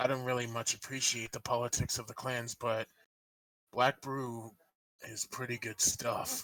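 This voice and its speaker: In a raspy, put-on character voice of medium pitch, a man speaks at a moderate pace with monotone, flat intonation. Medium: actual play. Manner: blunt, few words.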